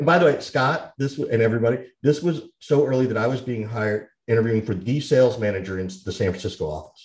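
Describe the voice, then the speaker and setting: A man speaks at a very fast pace, barely pausing at all. His voice is somewhat breathy. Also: medium pitch for a man, lively intonation. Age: 50s. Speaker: sales podcast co-host and consultant. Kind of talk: casual chat.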